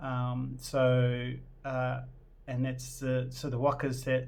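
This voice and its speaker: In a room with audible echo, a man of medium pitch talks at a very slow pace with monotone, flat intonation. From New Zealand. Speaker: vlogger. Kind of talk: casual personal vlog intro. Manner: hesitant, many fillers.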